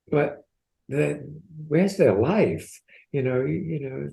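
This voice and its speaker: The man's voice sits fairly high and has a dark, mellow tone. Vocal fry runs through it. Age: 80s. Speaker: podcast co-host, transformation coach. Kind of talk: coaching conversation on podcast.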